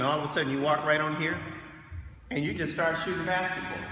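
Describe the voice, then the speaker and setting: A man is heard with audible room echo. Light background noise runs underneath. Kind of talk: casual vlog chat. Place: hall. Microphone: phone near.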